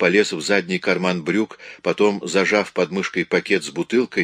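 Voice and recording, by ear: Natural-voiced reading aloud, pitch rising and falling an ordinary amount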